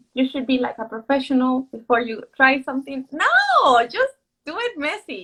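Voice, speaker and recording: A woman with a Mexican accent speaks at a high pitch and a moderate pace. Her voice is raised and projected. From Mexico City. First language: Spanish. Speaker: author. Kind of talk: casual chat. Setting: livestream video call.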